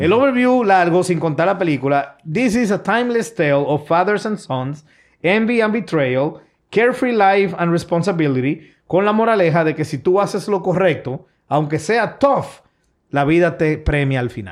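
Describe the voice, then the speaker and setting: With a high pitch and lively intonation, a man speaks in an animated tone at a fairly slow pace against a quiet background. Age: 40s. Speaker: podcast host. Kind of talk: casual chat.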